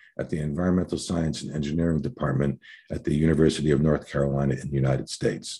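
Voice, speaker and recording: Talking at a very fast pace, a man shows a very deep, low pitch, a dark, mellow tone and vocal fry. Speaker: webinar moderator. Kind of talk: formal introductions. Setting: online webinar video call.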